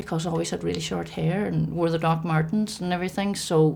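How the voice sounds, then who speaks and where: In a Northern Irish accent, a woman speaks at a fairly quick pace with a fairly low pitch and vocal fry. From Northern Ireland, County Tyrone. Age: 50s. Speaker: LGBT activist interviewee. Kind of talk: documentary interview.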